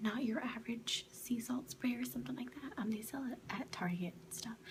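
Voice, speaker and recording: Over noticeable background noise, a woman whispers in a soft-spoken way. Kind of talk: ASMR product review, whispered to camera. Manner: soft-spoken, whispering.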